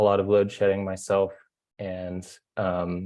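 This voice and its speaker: Against a quiet background, a man with a Californian accent speaks fairly slowly at a fairly low pitch in a monotone, flat delivery. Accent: American (Californian). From California, US. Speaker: solar energy engineer, webinar panelist. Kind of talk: webinar presentation. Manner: hesitant, many fillers.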